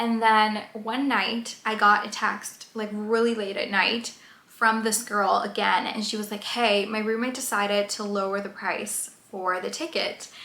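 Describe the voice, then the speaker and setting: Speech runs on with hardly any pauses and fairly even intonation. Audible room echo and noticeable background noise are present. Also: woman, fairly high pitch for a woman. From Colombia. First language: Spanish. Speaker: YouTuber. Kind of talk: casual vlog storytelling. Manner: hesitant, many fillers.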